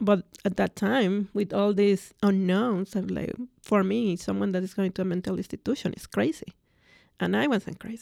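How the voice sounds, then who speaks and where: A woman with a Spanish accent and a dark, mellow tone at a moderate pace, in a dry, close sound with no echo on a very clean recording with a silent background. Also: medium pitch for a woman, ordinary pitch variation. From Mexico City, Mexico. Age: 40s. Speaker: mental health patient sharing her story. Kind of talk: personal testimony interview. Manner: hesitant, many fillers.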